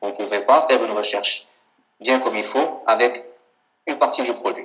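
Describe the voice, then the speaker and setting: A man is speaking at a moderate pace. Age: 30s. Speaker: software founder and former online seller; interviewee. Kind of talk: interview; interview answer. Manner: halting, frequent repetitions. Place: home room. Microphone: video call.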